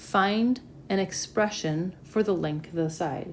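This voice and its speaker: Speaking at a very slow pace with ordinary pitch variation, a woman is heard with audible room echo. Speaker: math teacher. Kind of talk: lecture. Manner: casual.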